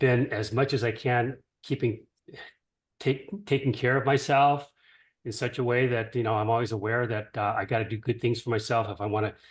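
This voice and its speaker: Over a quiet background, a man with a somewhat breathy voice speaks in a flat monotone at a medium pitch and moderate pace. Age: 70s. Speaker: caller giving a product testimonial. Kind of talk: testimony. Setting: group call.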